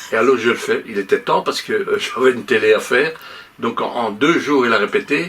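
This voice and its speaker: The speaker is a man moving at a fairly quick clip. Behind his voice, background noise is noticeable. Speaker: music producer and singer. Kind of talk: talk show interview.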